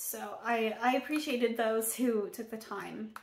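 Against a quiet background, a woman speaks with audible room echo. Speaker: poet. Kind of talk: casual talk to camera. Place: home room. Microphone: phone near.

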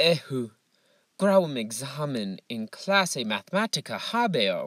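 A man with a fairly high voice speaks at a fairly slow pace with very wide pitch swings. The recording is very clean and silent in the background, with a dry, close sound and no echo. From US Northeast, Massachusetts. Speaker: Latin teacher. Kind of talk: reading aloud.

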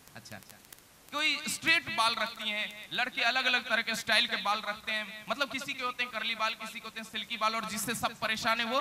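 A man speaks in a raised, projected voice with fairly even intonation at a moderate pace, over light background noise. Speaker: ventriloquist comedian. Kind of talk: stage comedy banter with audience. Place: stage. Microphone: handheld.

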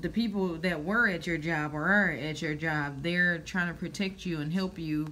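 A woman speaks in a plain, everyday voice, fairly low in pitch with fairly even intonation. Her pace is fairly slow, with light background noise behind her. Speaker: tarot reader. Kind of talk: casual tarot reading commentary. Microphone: phone near.

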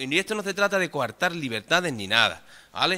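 A man speaks at a moderate pace in a bright, sharp tone. His pitch swings very widely. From Andalusia, Cádiz province. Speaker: council member. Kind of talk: council meeting debate. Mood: argumentative, reproachful. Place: hall. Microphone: podium.

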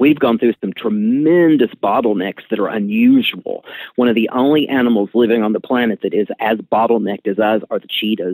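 A man talks at a fairly quick pace with hardly any pauses, in a plain, everyday voice. His pitch is medium with ordinary variation, and the sound is dry and close with no echo. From US South, Appalachia. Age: 50s. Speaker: scientist. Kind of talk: interview.

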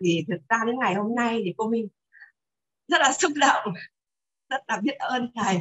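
Against a quiet background, a woman with a fairly high pitch speaks at a moderate pace with lively intonation and long, frequent pauses. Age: 60s. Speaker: retired teacher, participant. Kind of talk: testimony. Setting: video call. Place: home room. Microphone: video call.

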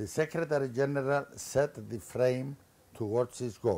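A man speaks in a Greek accent. His pace is fairly slow. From Cyprus. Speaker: former politician. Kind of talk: lecture. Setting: stage with audience. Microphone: podium.

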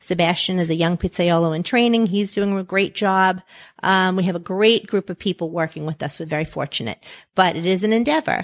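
A woman with an American accent speaks at a fairly quick pace and a medium pitch, with ordinary pitch variation, in an unremarkable speaking voice. The recording is very clean, dry and close, with no echo and a silent background. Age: 50s. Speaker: pizzeria owner. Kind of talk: interview.

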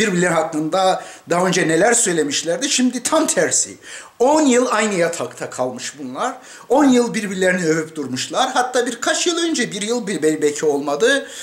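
There is audible room echo. A man speaks at a moderate pace. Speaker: commentator. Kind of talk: political commentary. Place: home room. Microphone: webcam.

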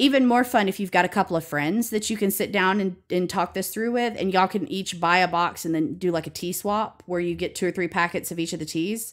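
A woman's fairly low voice in an Alabama accent, fairly quick with few pauses and ordinary pitch variation, on a very clean recording with a silent background. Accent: Alabama Southern American.

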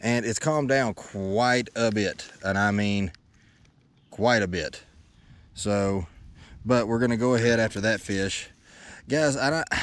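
In a Tennessee accent, a man of medium pitch speaks fairly slowly with ordinary pitch variation and long, frequent pauses, in a dry sound with no echo. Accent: US Southern (Tennessee). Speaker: fishing YouTuber. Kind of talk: casual vlog talk to camera while fishing. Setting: outdoors on a lake, fishing boat. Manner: animated. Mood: excited, cheerful. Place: boat. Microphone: phone near.

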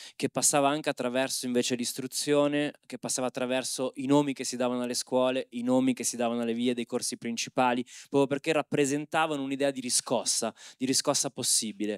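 A man talks at a very fast pace in a flat monotone. The sound is dry, with no echo. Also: quiet background. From Milan periphery (Opera), family from Civitavecchia; Milan. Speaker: anthropologist and moderator; moderator. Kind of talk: panel discussion. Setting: stage with audience. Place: hall. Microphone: handheld.

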